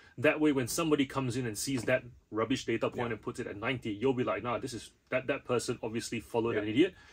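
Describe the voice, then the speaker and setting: His speech rushes along at a very fast pace, with ordinary pitch variation. The man sounds somewhat breathy. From Malaysia. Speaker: reseller channel host. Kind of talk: casual chat. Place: home room.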